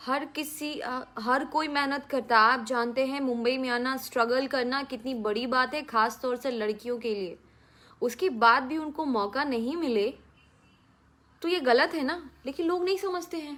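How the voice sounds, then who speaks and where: A woman speaks with a Bihari accent at a high pitch. Her tone is bright and sharp. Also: ordinary pitch variation. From Bhojpuri-speaking region, India (Bihar/eastern UP). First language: Bhojpuri (speaking Hindi). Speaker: film actress. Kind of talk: answering fan questions.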